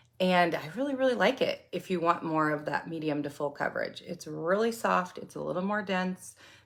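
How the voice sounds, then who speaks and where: A woman with a plain, everyday voice speaks at a medium pitch and a fairly quick pace, her intonation lively and hardly any pauses, on a very clean recording with a silent background. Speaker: makeup product seller. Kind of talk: product tutorial livestream.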